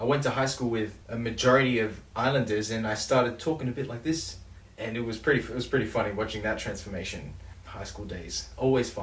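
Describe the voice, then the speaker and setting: A somewhat breathy, medium-pitched male voice at a fairly quick pace, with audible room echo. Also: ordinary pitch variation. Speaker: songwriter vlogger. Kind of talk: casual vlog talk about songwriting.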